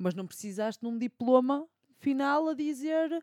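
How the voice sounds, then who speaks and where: With a European Portuguese accent, a voice with a dark, mellow tone and lively intonation comes through in a dry, close sound with no echo. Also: woman. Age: 20s. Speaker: podcast co-host, law student. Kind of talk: casual chat.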